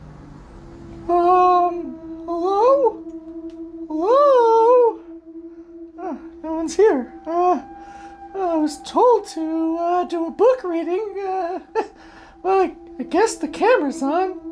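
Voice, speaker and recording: Someone speaking in a put-on character voice at an extremely high pitch goes at a very slow pace, with long, frequent pauses. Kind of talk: comedy sketch. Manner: hesitant, halting.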